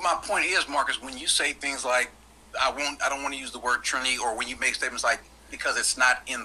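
A man with a fairly high pitch rushes along at a very fast pace, with noticeable background noise behind him. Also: fairly even intonation. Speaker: debate panelist. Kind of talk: panel debate. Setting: video call.

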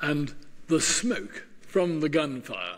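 A man talks slowly at a fairly high pitch, with audible room echo.

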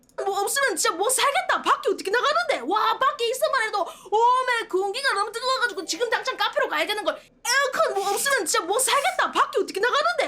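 A woman talks very fast in an extremely high, raised and projected voice with lively intonation. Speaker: virtual streamer. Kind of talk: casual livestream talk.

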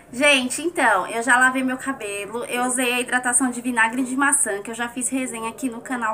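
Noticeable background noise sits behind the speaker. She is a woman with a high pitch. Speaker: beauty vlogger. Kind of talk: hair tutorial. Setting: home bathroom. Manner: animated.

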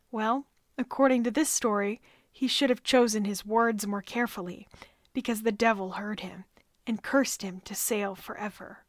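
A woman speaks with a plain, everyday voice at a fairly high pitch and a moderate pace. Her intonation stays fairly even while her loudness swings widely. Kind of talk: history podcast narration.

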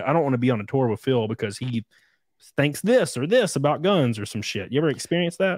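In a Southern US accent, a man speaks at a fairly quick pace, the sound dry with no echo and the background quiet. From Alabama. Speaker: podcast host. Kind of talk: casual interview chat. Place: home room. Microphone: studio mic.

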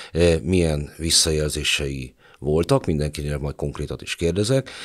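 Over a quiet background, a man with a very deep, low pitch speaks at a moderate pace. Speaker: podcast host; podcast host, moderator. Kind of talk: moderated interview discussion. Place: studio. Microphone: studio mic.

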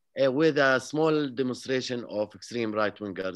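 Lively intonation at a moderate pace, with an Arabic accent. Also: man, quiet background. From Palestine, village near Jerusalem. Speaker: peace activist and author; interview guest. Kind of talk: interview. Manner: halting. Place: home room. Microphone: video call.

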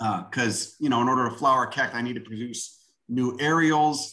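A man's bright, sharp voice with a Chicago accent, at a moderate pace against a quiet background. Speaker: self-taught botanist and plant video maker. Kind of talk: lecture. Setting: video call. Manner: casual and profane. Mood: enthusiastic, casual, swearing. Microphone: video call.

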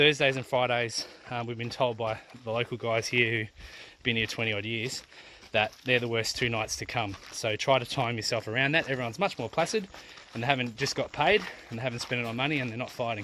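Man's bright, sharp voice at a fairly quick pace with fairly even intonation, dry with no echo and light background noise. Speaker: family travel vlogger. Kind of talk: casual vlog chat. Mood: disappointed, somewhat angry. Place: open country. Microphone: phone near.

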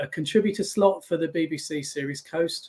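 Moderate pace with a British accent. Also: man. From England. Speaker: naval historian. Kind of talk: history talk with slides. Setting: video call. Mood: warm, relaxed. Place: home room.

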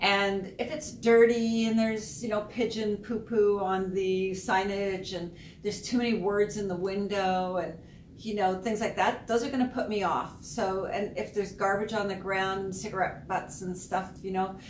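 A woman at a moderate pace with fairly even intonation, audible room echo and light background noise. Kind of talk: business advice talk to camera. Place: office.

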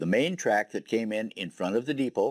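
Lively intonation with an American accent, a dry, close sound with no echo, and a very clean recording over a silent background. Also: man. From northern Wisconsin, US. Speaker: local historian and exhibit donor. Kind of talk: guided tour narration. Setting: interview recording. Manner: conversational.

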